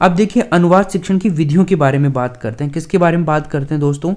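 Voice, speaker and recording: A man speaks with a fairly high pitch and ordinary pitch variation. The recording is very clean, with a silent background. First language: Dhundhari (speaking Hindi). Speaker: online exam-prep teacher. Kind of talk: lecture.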